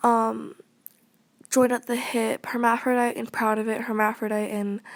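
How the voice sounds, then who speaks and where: In a very clean recording with a silent background, a woman talks at a fairly high pitch in a flat monotone. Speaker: vlogger. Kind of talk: casual vlog monologue. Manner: halting, many fillers.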